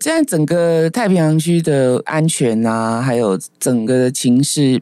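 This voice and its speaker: A woman with a very deep, low voice and a dark, mellow tone makes very wide pitch swings. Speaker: podcast co-host, diplomat's wife. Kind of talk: casual chat.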